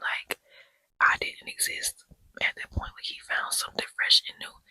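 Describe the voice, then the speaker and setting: A woman is whispering, with a dry, close sound and no echo. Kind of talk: ASMR storytime, casual talk to camera. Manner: soft-spoken.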